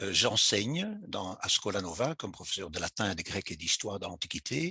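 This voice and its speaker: With a bright, sharp tone and lively intonation, a man of fairly low pitch speaks at a moderate pace in a dry, close sound with no echo. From Belgium. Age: 60s. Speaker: classics teacher and author. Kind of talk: interview. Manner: halting, many hesitations.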